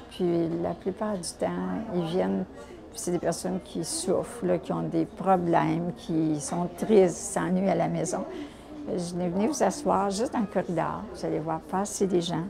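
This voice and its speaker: Fairly slow speech from a woman amid noticeable background noise. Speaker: senior volunteer. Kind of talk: testimony. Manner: halting.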